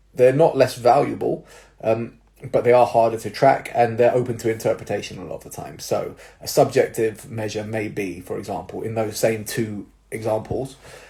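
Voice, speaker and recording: The voice belongs to a man and is somewhat breathy. His tone is dark and mellow. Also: medium pitch for a man, ordinary pitch variation, moderate pace, big swings in loudness. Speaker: personal trainer and jiu-jitsu coach. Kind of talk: casual advice talk to followers. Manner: casual, many fillers.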